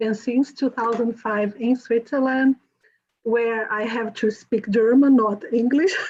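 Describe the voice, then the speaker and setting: In a Brazilian accent, a woman speaks at a fairly high pitch and a fairly slow pace with fairly even intonation. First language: Portuguese. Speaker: journalist and author. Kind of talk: conference presentation. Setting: video call.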